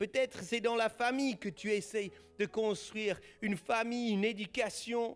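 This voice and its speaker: A man speaks with a Swiss German accent at a fairly slow pace. His voice is high. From German-speaking Switzerland. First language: Swiss German (speaking French). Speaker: pastor. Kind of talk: sermon. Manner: animated.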